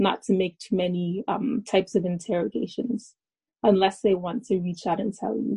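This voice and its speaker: With a Canadian accent and an ordinary speaking voice, a woman talks at a moderate pace and medium pitch with fairly even intonation. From Alberta, Canada. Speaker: university student. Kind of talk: panel discussion.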